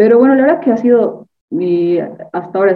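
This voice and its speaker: A woman is speaking. Her pace is very fast. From Bolivia. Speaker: university student and sprinter. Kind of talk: casual interview.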